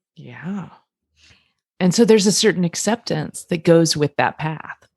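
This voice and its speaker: Recorded dry and close with no echo, a woman with a plain, everyday voice speaks at a fairly slow pace, with a fairly low pitch and ordinary pitch variation. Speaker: couples therapist. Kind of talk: casual podcast discussion.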